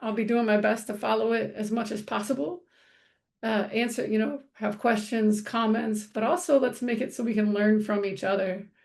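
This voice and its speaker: A woman's fairly high-pitched voice with an American accent, at a fairly quick pace, over a quiet background. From US, military bases (Air Force family). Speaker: counselor and trainer. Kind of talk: online training presentation. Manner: fast; hesitant fillers (um, uh).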